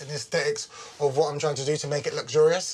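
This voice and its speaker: Talking at a very fast pace over noticeable background noise, a man speaks with a fairly high pitch. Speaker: interior design contestant. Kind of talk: reality TV interview.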